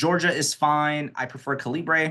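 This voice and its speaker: A man with a bright, sharp tone talks at a moderate pace, the background around him quiet. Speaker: accessibility trainer. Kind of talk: webinar tutorial.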